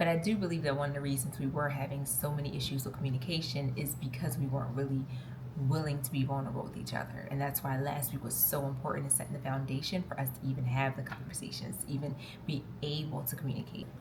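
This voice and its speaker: A woman talks very fast in an animated tone, her pitch very deep and low. Noticeable background noise and audible room echo surround her. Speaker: lifestyle vlogger. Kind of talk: casual vlog talk to camera. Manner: loud, talkative.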